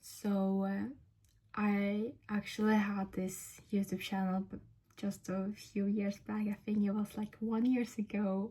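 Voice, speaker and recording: A woman speaks very slowly at a medium pitch, her tone dark, mellow and somewhat breathy, her intonation monotone and flat. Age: 20s. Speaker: vlogger. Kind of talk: casual talk to camera. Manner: halting, many fillers and restarts.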